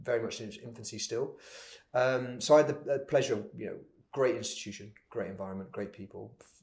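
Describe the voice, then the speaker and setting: This man talks very fast at a medium pitch, varying it by an ordinary amount. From Cornwall, England. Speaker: entrepreneur. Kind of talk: interview. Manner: hesitant with many ums and repeats.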